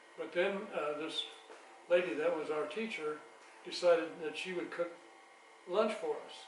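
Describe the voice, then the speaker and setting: With an American accent, a man speaks at a moderate pace in a high pitch and fairly even intonation, leaving long, frequent pauses amid audible room echo and noticeable background noise. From US Midwest, northwest Missouri. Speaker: Korean War-era Navy veteran. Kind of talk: family interview. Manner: halting, many hesitations.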